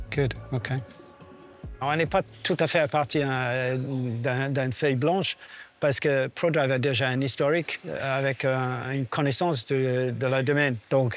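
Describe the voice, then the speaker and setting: Fairly even intonation marks a man's speech at a fairly slow pace. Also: medium pitch for a man. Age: 60s. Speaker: technical director of a rally team. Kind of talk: documentary interview. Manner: hesitant, many fillers.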